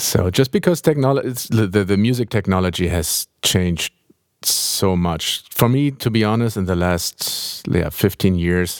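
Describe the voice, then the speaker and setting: At a moderate pace, a man with a German accent speaks in a fairly low voice with ordinary pitch variation. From Germany, Hamburg. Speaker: film and game composer. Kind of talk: interview. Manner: halting.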